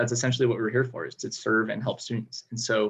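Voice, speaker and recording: A man speaks at a medium pitch. His voice is somewhat breathy, with fairly even intonation. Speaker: student government candidate. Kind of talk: debate answers. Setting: video call. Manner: fast.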